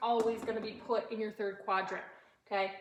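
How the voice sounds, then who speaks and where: A woman talks very fast at a fairly high pitch. Audible room echo and noticeable background noise fill the recording. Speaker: fifth-grade teacher. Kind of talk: recorded math lesson for pupils.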